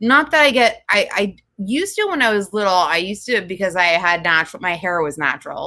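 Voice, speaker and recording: This woman speaks with an American accent at a moderate pace. Her pitch variation is ordinary. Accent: Jersey girl accent, slight Southern touch. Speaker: podcast co-host. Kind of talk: casual chat. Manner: animated.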